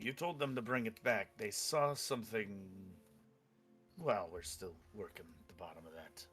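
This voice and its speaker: A man's put-on character voice at medium pitch and moderate pace, with long, frequent pauses and faint music in the background. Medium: actual play. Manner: curt, guarded.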